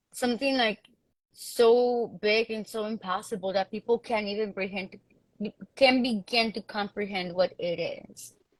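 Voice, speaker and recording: With fairly even intonation but big swings in loudness, a woman speaks at a moderate pace in a fairly high pitch. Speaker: panel guest in community discussion. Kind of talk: casual discussion. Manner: hesitant, many fillers.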